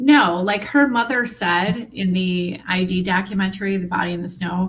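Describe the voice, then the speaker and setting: Against noticeable background noise, a woman with a Midwestern US accent speaks at a moderate pace in a medium pitch with ordinary pitch variation. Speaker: true crime commentator. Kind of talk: casual chat.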